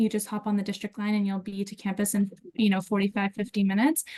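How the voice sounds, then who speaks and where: Over noticeable background noise, a woman with a fairly high pitch speaks at a fairly quick pace with an American accent. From United States. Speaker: university student affairs staff. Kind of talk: webinar presentation.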